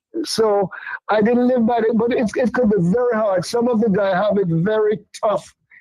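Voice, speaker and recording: At a fairly slow pace, a man with a high pitch speaks in fairly even intonation. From Jamaica, St. Mary. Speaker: reggae singer. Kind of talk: interview.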